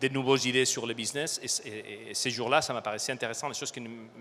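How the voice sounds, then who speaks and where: A man speaks in a medium pitch. His pace is fairly quick and his intonation fairly even. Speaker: supply chain director. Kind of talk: conference talk. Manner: halting, many fillers.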